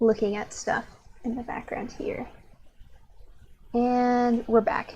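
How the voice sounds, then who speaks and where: A woman's high-pitched, monotone, flat voice at a very slow pace, with big swings in loudness. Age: young. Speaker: streaming artist. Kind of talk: casual live-stream chat while drawing. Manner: halting.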